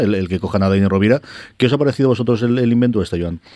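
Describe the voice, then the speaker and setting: At a very fast pace, a man's voice carries ordinary pitch variation. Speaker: comics podcast host. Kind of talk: casual chat.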